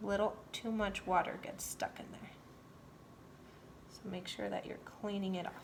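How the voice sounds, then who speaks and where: Monotone and flat, the delivery has long, frequent pauses and big swings in loudness. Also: woman, medium pitch for a woman, moderate pace. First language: not English. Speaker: painting instructor. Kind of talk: tutorial. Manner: casual, chatty.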